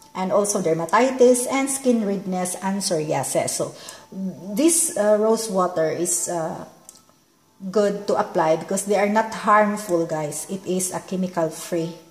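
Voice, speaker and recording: Over music in the background, a woman with a Filipino accent speaks at a moderate pace in a medium pitch with ordinary pitch variation. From Philippines. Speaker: DIY beauty vlogger. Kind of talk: tutorial. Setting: at home. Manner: halting, many fillers.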